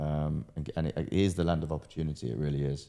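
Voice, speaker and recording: Speaking very fast, a man uses a British accent. His tone is dark and mellow. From Britain. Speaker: entrepreneur and pro boxer. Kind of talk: casual interview.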